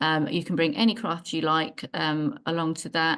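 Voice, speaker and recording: In a plain, everyday voice, a woman with a fairly low pitch talks at a moderate pace over a quiet background. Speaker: library worker. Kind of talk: community meeting presentation.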